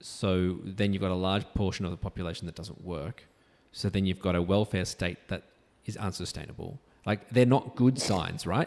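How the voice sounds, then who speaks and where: With an Australian accent, a man talks at a moderate pace in a very deep, low voice with ordinary pitch variation. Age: 60s. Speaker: justice of the peace. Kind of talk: interview conversation.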